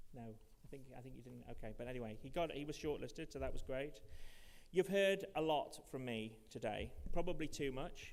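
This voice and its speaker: In a room with audible echo, a man with a Manchester accent speaks at a fairly high pitch with vocal fry. His loudness swings widely. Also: ordinary pitch variation, moderate pace. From Manchester, England. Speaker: conference host. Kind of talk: awards ceremony speech.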